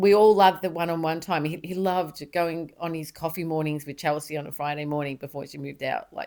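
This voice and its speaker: In an Australian accent, the voice has a dark, mellow tone and fairly even intonation. It runs at a very fast pace with hardly any pauses and big swings in loudness. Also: woman, fairly low pitch for a woman. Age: 60s. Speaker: mother of the host. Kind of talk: casual chat. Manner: halting.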